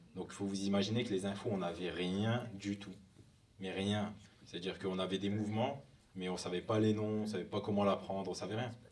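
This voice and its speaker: A man speaks at a fairly quick pace with a fairly low pitch and monotone, flat intonation. Audible room echo surrounds his voice. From northern France, near Lille. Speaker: hip hop dancer. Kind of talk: conference talk. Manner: casual.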